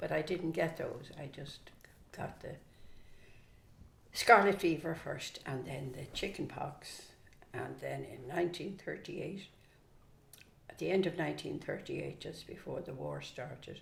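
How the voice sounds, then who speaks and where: Someone with a Dublin accent speaks at a fairly slow pace, leaving long, frequent pauses. Room echo can be heard. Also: woman. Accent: Dublin Irish. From Ireland, Dublin. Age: 80s+. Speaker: grandmother interviewee. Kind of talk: casual interview.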